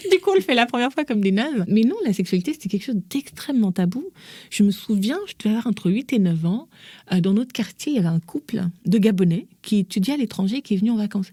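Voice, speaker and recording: Somewhat breathy and dark and mellow in tone, a woman's fairly high voice races at a very fast pace with lively intonation, the sound dry and close with no echo. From Gabon. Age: 40s. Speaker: mother and author. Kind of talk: podcast interview. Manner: animated.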